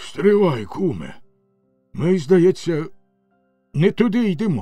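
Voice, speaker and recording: Over faint music in the background, a man does a raspy, put-on character voice at a high pitch, with lively intonation and a fairly slow pace. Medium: read story. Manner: grumbling, contrary.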